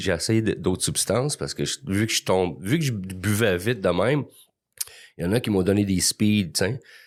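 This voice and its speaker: On a very clean recording with a silent background, a man with a fairly low pitch talks at a moderate pace in an unremarkable speaking voice with ordinary pitch variation. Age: 60s. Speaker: recovering alcoholic guest. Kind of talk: testimony.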